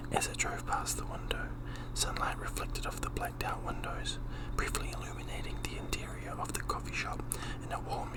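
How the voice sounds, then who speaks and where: A man is whispering at a moderate pace. Noticeable background noise can be heard. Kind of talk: audiobook-style fiction reading. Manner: soft-spoken, whispery.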